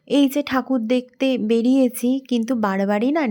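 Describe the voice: A woman's dark, mellow tone holds a fairly even intonation.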